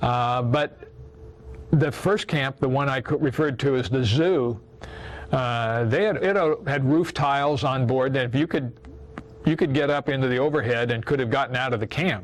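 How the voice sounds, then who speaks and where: A man speaks in a Midwestern American accent at medium pitch and a moderate pace. His loudness is very even, with ordinary pitch variation. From Iowa. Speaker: war veteran. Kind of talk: testimony. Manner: halting.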